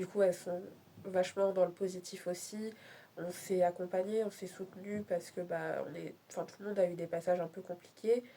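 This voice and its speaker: A woman's dark, mellow tone at a moderate pace, monotone and flat in intonation, with big swings in loudness. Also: medium pitch for a woman. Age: 20s. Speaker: vlogger. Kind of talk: casual chat. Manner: halting.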